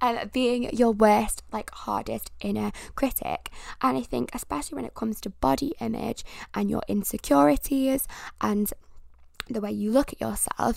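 A woman talks at a moderate pace in an animated tone. The recording is very clean, with a silent background. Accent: British. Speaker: podcast host. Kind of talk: casual solo podcast monologue. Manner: animated, rambling.

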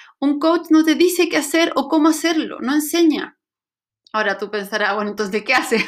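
Her pitch high and her intonation lively, a woman speaks. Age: 40s. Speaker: life coach. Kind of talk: online course talk.

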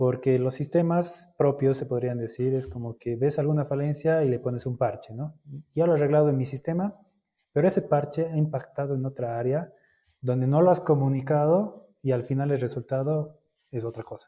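A man's somewhat breathy voice, fairly high in pitch, dark and mellow in tone, at a moderate pace. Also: ordinary pitch variation. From Bolivia. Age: 30s. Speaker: logistics manager. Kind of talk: interview.

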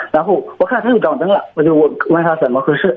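Using a high pitch, the man speaks fairly quickly. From Zhangqiu, Shandong, China. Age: 20s. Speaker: caller. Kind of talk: phone-in advice call.

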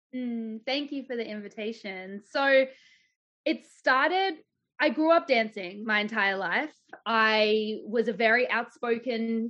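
Speaking with an Australian accent, a woman with a fairly high pitch uses ordinary pitch variation. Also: fairly slow pace. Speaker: embodied leadership coach and business owner. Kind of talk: casual interview chat.

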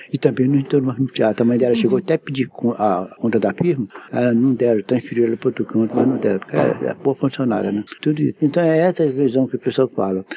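The delivery is very fast with lively intonation. Background noise is noticeable. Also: man, medium pitch for a man, dry, close sound with no echo. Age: 80s+. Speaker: theater technician. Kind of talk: interview storytelling. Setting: theater.

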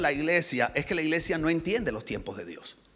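Noticeable background noise is audible. A man speaks fairly quickly. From Colombia, Barranquilla. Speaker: pastor. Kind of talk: sermon.

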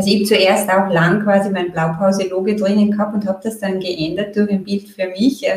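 Fairly quick and barely pausing, a woman speaks. Her intonation is monotone and flat. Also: medium pitch for a woman. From Austria, Graz. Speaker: marketing consultant. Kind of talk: casual interview.

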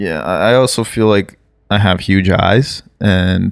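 A man talks at a very deep, low pitch. Vocal fry runs through his voice. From Brazil. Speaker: podcast co-host, sketch comedian. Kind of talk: casual chat.

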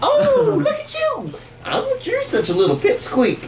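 A put-on character voice with a Southern accent moves at a fairly slow pace. Loud background noise runs underneath. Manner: ironic, teasing.

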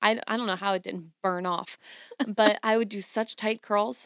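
Speaking at a moderate pace, a woman has a plain, everyday voice of medium pitch. Her pitch varies in an ordinary way, and the sound is dry and close with no echo. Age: 20s. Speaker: podcast co-host. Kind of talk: casual chat.

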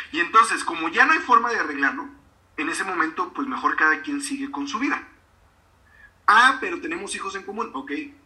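With noticeable background noise behind him, a man uses a raised, projected voice at an extremely high pitch, very wide pitch swings, big swings in loudness, a fairly quick pace, and long, frequent pauses. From Mexico, Río Verde, San Luis Potosí. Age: 40s. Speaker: author and speaker. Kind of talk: interview. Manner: halting, many fillers.

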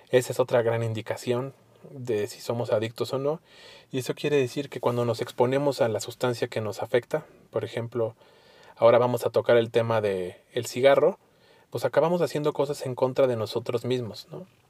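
Here is a man with an ordinary speaking voice at a medium pitch. He moves at a fairly quick pace with ordinary pitch variation. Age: 30s. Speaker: podcast host, recovering addict. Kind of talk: solo monologue.

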